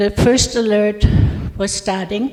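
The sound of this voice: A slightly mellow tone at a fairly slow pace. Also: woman.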